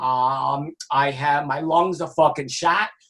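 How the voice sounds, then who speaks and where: A man with a New York accent talks with ordinary pitch variation. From New York, Brooklyn. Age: 60s. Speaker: music industry executive and author. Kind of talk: casual interview chat.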